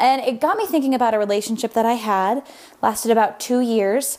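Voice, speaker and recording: An unremarkable speaking voice from a woman with an American accent, fairly high in pitch, with ordinary pitch variation at a moderate pace. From Sacramento, California. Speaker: voicemail caller, listener. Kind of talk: recorded voicemail, personal testimony.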